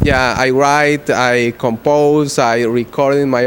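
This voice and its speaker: Noticeable background noise sits behind a man's voice. His medium pitch stays monotone and flat. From Guatemala. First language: Spanish. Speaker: rock musician. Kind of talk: interview. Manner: halting.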